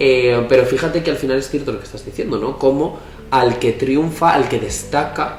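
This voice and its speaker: An animated man at medium pitch and moderate pace, amid noticeable background noise and audible room echo. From Spain. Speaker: podcast co-host. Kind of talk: casual conversation.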